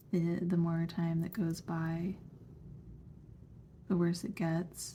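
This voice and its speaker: A woman's fairly low, somewhat breathy voice, dark and mellow in tone, monotone and flat, at a very slow pace. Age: 30s. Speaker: vlogger with chronic illness. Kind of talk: personal testimony vlog.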